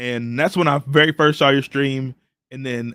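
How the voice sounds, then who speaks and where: A man speaks loudly at a fairly slow pace, his tone bright and sharp, with ordinary pitch variation. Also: very clean recording, silent background. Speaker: live stream host. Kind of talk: casual chat. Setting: live stream. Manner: loud, boisterous; animated.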